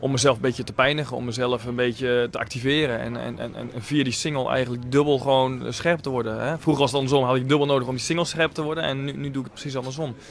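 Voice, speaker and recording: A very fast pace with fairly even intonation, dry with no echo, over light background noise. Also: man. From Netherlands, Leerdam; Netherlands. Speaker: professional tennis player. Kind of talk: post-match interview. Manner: halting, many filler words. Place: cafe.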